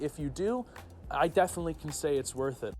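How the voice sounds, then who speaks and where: The speaker talks at a very fast pace. Music plays in the background. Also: man. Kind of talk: street interview.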